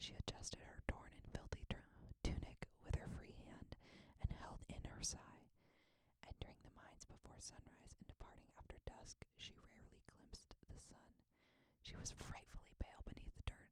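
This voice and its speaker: Someone whispers at a moderate pace. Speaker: ASMR creator, audiobook-style reader. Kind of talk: ASMR bedtime reading of a fantasy novel.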